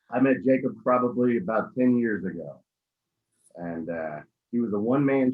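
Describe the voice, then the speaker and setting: A man's voice with lively intonation. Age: 30s. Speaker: cigar company co-founder. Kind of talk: casual interview. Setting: video call.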